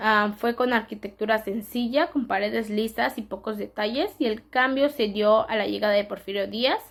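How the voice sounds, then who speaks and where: Delivery is fairly unhurried. The pitch holds fairly level throughout. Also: woman. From Yucatán, Mexico. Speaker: student presenter. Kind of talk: class presentation. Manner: halting, self-correcting.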